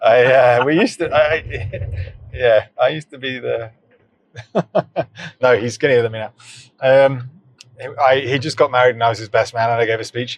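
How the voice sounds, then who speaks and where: With a British accent, a man speaks at a medium pitch and moderate pace, using fairly even intonation and long, frequent pauses. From southern England. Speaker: startup founder. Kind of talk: casual chat. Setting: in a car.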